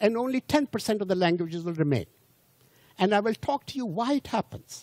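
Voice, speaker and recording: A man talks at a fairly quick pace with a high pitch. His intonation is lively. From India. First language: not English, Indian language. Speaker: lecturer. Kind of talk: lecture. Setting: cruise ship audience. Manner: halting, with repetitions.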